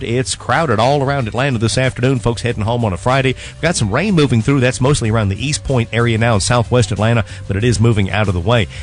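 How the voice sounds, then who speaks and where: The speech runs at a very fast pace with hardly any pauses. Music plays in the background, and the pitch varies in an ordinary way. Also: man, medium pitch for a man. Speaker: radio traffic reporter. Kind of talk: radio traffic report. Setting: studio, radio.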